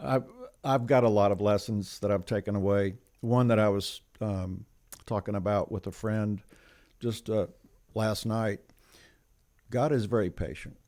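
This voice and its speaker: Dark, mellow voice with an American accent and long, frequent pauses. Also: man, fairly low pitch for a man, fairly even intonation, moderate pace, very clean recording, silent background. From Atlanta, US South. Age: 70s. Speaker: program leader, ministry volunteer. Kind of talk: interview. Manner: halting, many fillers.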